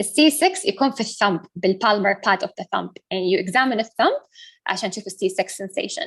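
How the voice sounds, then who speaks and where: Somewhat breathy and medium in pitch, a woman talks at a fairly quick pace with lively intonation. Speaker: medical student lecturer. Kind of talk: lecture. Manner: fast.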